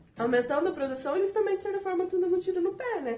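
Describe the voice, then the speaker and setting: Here a woman's voice has a dark, mellow tone. Her pitch swings very widely. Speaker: teaching intern. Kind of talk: recorded video lecture. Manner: halting, many fillers.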